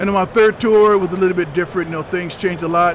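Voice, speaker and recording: A man speaks with a high pitch and fairly even intonation. Noticeable background noise is present. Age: 60s. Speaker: retired army ranger. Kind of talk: interview. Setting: trade show floor. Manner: halting, many fillers.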